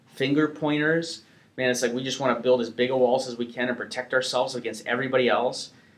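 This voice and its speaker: Someone with an American accent speaks with fairly even intonation over noticeable background noise. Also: man. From US Upper Midwest (North Dakota). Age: 30s. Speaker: evangelist. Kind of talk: interview. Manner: casual, filler-heavy.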